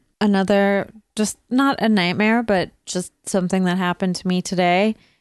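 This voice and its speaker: Over a quiet background, a woman speaks at a medium pitch and a fairly slow pace. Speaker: comedian and podcast co-host. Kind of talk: casual chat. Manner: animated.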